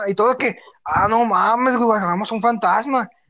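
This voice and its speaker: An animated tone with a Mexican accent. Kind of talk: casual chat.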